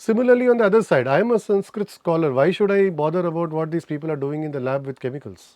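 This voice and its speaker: With a Tamil accent, a man speaks very fast with lively intonation and hardly any pauses. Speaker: chemistry professor. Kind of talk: interview. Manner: halting, self-correcting.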